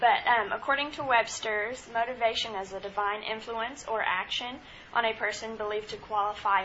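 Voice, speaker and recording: A normal speaking voice from a woman, fairly high in pitch, with fairly even intonation and a moderate pace. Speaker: student. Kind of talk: student presentation.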